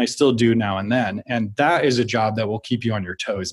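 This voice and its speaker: A man with an American accent and an ordinary speaking voice, ordinary pitch variation, and a fairly quick pace. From US Midwest (Minnesota, Wyoming). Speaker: film and TV composer. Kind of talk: casual interview chat.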